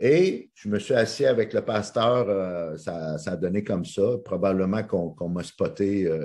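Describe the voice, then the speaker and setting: A man speaks with a Quebec accent in a dark, mellow tone at a fairly low pitch. The background is quiet. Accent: Québécois French. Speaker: motivational speaker and coach. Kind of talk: interview. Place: home room. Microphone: video call.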